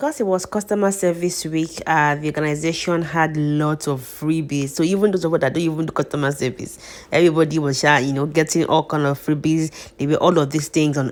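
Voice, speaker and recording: Her pitch very deep and low, a woman talks at a fairly quick pace with fairly even intonation. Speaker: immigration consultant and vlogger. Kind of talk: casual vlog advice. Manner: fast.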